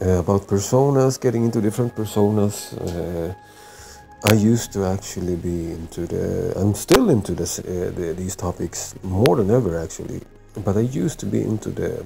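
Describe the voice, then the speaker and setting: Over noticeable background noise, a speaker with a non-native accent talks with ordinary pitch variation. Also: man, fairly low pitch for a man, moderate pace. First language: not English. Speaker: vlogger. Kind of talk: educational monologue. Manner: halting, many fillers.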